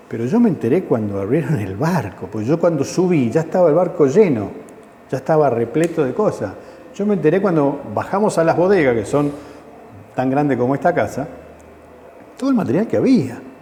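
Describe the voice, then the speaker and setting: A man talks at a fairly quick pace with fairly high pitch and very wide pitch swings, broken by long, frequent pauses. Noticeable background noise is present. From Argentina, Mendoza. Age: 60s. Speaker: war veteran. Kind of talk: testimony interview. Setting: veterans' center.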